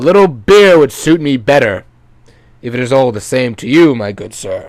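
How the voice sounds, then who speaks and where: A man puts on a character voice. His pitch is medium and his pace is moderate. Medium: read story. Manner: courteous.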